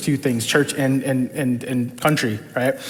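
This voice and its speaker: A man with an American accent speaks against noticeable background noise. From New York, the Bronx. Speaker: church leadership team member. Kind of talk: testimony. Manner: casual, with many fillers.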